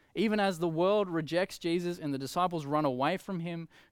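Moderate pace, ordinary pitch variation, and an Australian accent, on a very clean recording with a silent background. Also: man. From Australia, Coffs Harbour NSW. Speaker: preacher. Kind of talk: sermon. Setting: empty church, livestream.

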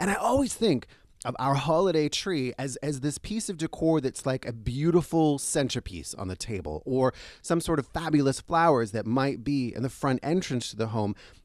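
With lively intonation, this man speaks in a fairly high pitch. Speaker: food and travel show host. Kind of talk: casual interview; scripted intro and outro. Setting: on location in a store. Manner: fast.

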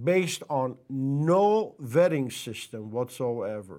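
With a Persian accent and lively intonation, the speaker talks at a very slow pace on a very clean recording with a silent background. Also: man. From Iran. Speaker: pastor. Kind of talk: monologue commentary.

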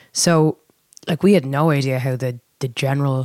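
Speaking in a Dublin accent, a woman talks. Her voice has a very deep, low pitch. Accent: Dublin Irish. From Dublin, Ireland. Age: 30s. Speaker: lead singer. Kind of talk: casual chat.

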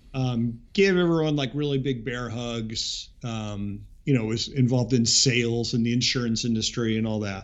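Moderate pace, hardly any pauses and ordinary pitch variation, with audible room echo. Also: man, medium pitch for a man. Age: 40s. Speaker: musician. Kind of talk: casual chat.

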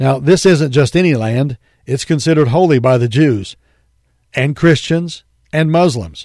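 A man talks at a moderate pace with a fairly high pitch. It is an ordinary speaking voice. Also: ordinary pitch variation. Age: 50s. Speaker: radio pastor and Bible teacher. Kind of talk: radio sermon. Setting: radio studio.

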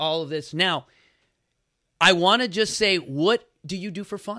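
Animated, with a bright, sharp tone, a man speaks in an American accent at a high pitch with ordinary pitch variation. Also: very clean recording, silent background. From Chicago. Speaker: podcast host and fitness founder. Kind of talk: casual interview chat. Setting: live on Instagram.

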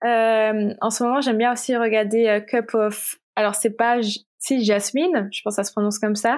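In a plain, everyday voice, a woman with a fairly high pitch speaks at a moderate pace with hardly any pauses, on a very clean recording with a silent background. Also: fairly even intonation. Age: 20s. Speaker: illustrator and content creator. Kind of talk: casual interview.

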